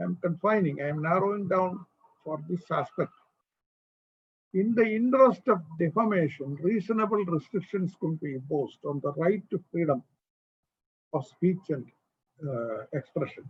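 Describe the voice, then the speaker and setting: A high-pitched male voice, lively intonation, long and frequent pauses. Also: moderate pace. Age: 80s+. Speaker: former supreme court judge. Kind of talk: lecture. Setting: online call.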